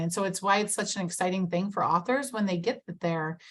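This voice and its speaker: A woman's voice comes across as somewhat breathy. She keeps up a fairly quick pace. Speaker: author and business consultant. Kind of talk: webinar talk. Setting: video call.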